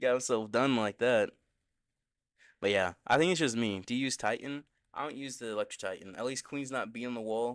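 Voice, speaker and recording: A quiet man's voice at medium pitch, fairly quick pace and ordinary pitch variation, on a very clean recording with a silent background. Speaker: gaming streamer. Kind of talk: live gameplay stream chat.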